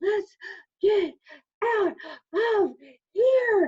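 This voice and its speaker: A woman whispers in a put-on character voice. The sound is squeaky. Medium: read story. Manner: whispering.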